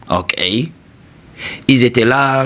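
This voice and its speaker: A man talks in a Senegalese accent. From southern Senegal. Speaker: YouTube commentator. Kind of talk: video commentary monologue. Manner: casual, frequent 'ok?' tags.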